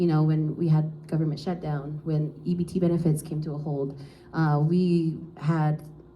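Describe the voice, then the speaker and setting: A woman speaks in a very deep, low voice. Her intonation stays monotone and flat, with audible room echo. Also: moderate pace. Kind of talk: panel talk. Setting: live panel at an office with audience.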